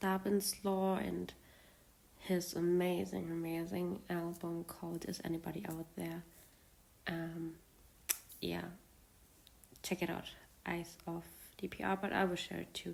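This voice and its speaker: A woman with a non-native accent speaks at a fairly slow pace, with long, frequent pauses. Her fairly low voice stays monotone and flat. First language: not English. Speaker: fan video creator. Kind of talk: casual monologue. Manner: halting, many fillers.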